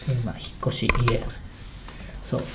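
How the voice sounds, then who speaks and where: A man talks at a moderate pace and medium pitch. There's audible room echo and noticeable background noise. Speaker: comedian. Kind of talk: casual chat.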